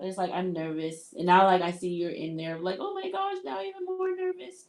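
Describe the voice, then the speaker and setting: Moderate-paced speech in an American accent, with ordinary pitch variation. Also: woman. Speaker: livestreamer. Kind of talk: casual chat. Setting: live stream.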